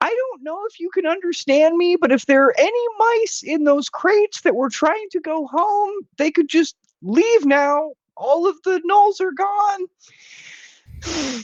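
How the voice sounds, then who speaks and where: Loud and extremely high-pitched, a put-on character voice moves at a moderate pace. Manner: very loud, projecting.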